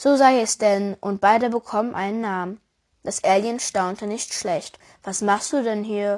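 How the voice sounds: Over a quiet background, someone reads in a natural voice.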